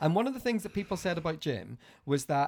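With a Northern Irish accent, a man talks very fast at a high pitch. The recording is very clean, with a silent background. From Northern Ireland. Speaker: podcast host. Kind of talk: casual chat.

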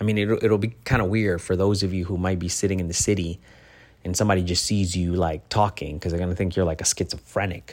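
A man speaks at a fairly quick pace with a very deep, low pitch and ordinary pitch variation. The recording is very clean, with a silent background. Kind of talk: motivational speech. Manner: earnest, direct, encouraging, with preacherly warmth; conversational, repetitive, with stumbles and self-corrections.

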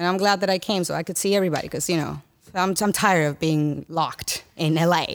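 A woman speaks at a very fast pace with a Spanish accent. Her fairly low voice keeps a fairly even intonation. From Dominican Republic. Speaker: podcast guest, former pageant contestant. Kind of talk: casual chat.

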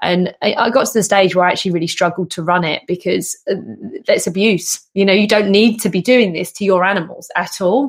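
Speaking at a fairly quick pace, a woman uses a plain, everyday voice at medium pitch with ordinary pitch variation. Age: 40s. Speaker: podcast host and canine behaviour specialist. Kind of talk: casual chat.

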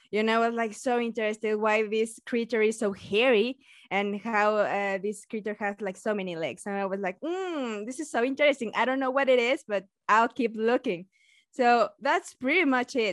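A woman speaks at a fairly high pitch, with a dry, close sound and no echo. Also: ordinary pitch variation, moderate pace, quiet background. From Mexico. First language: Spanish. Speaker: science YouTuber and biologist. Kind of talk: casual interview chat. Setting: video call remote podcast.

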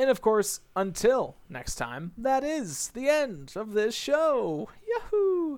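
The voice is a put-on character voice with a fairly high pitch. Its pace is very slow. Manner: excited, exclaiming.

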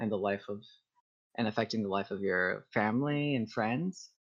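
This man has an unremarkable speaking voice, pitched at a medium level with ordinary pitch variation. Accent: American. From Texas. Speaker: community organizer. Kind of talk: casual interview.

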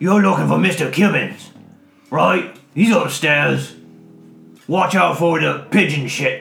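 A man uses a put-on character voice at a fairly high pitch, speaking at a fairly slow pace with long, frequent pauses, while music plays in the background and audible echo surrounds him. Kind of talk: casual, offhand. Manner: muffled, chewing while speaking.

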